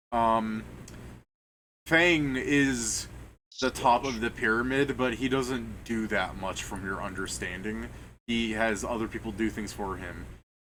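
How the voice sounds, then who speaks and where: A man speaks at a medium pitch in a bright, sharp tone. His pace is fairly slow, with ordinary pitch variation. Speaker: game master. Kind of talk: tabletop game session. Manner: casual, halting.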